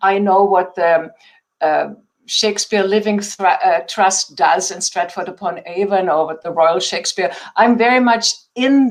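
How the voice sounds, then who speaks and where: A woman speaks with a German accent at a medium pitch. Her pace is fairly slow. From Germany. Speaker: theater founder and artistic director. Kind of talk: interview.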